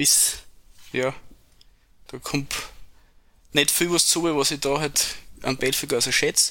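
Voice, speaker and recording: Man at a fairly high pitch, bright and sharp in tone, monotone and flat, at a fairly slow pace with long, frequent pauses, on a very clean recording with a silent background. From Upper Styria, Austria. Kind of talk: casual interview chat.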